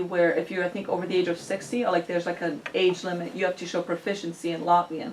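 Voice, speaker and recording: The speaker has a Russian accent and a very fast pace. Noticeable background noise runs underneath. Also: woman. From Ukrainian family, studies in US. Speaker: student audience member. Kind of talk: audience question.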